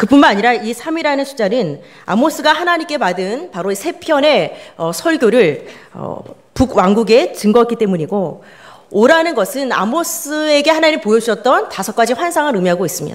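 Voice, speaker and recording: Her pitch high and swinging very widely, a woman speaks. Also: moderate pace. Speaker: pastor. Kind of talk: sermon. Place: church. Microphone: podium.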